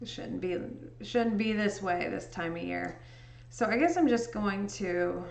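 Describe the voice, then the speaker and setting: A woman with an American accent at a fairly slow pace, with audible room echo. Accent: Indiana accent with a touch of Chicago. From US Midwest, southern Indiana. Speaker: livestreamer and photo editor; livestreamer. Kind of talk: casual chat. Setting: livestream. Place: home room.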